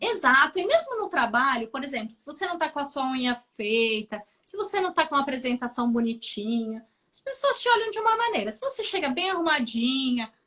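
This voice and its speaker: A woman with a Brazilian accent speaks in a raised, projected voice with a bright, sharp tone and high pitch, at a fairly quick pace, with very wide pitch swings and big swings in loudness. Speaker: nurse. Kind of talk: interview chat on a live stream.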